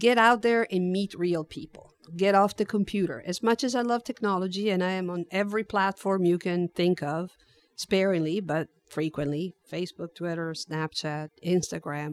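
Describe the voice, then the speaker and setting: The speaker has an Italian accent and a moderate pace, with ordinary pitch variation. The sound is dry and close, with no echo. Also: woman, medium pitch for a woman. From Italy, Turin. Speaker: HR director. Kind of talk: interview.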